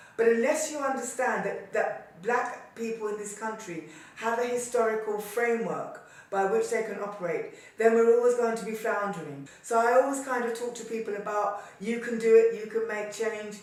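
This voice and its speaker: At a moderate pace, a woman with a fairly high pitch and fairly even intonation speaks with big swings in loudness, and room echo is audible. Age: 70s. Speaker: activist and former journal editor. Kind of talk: interview testimony.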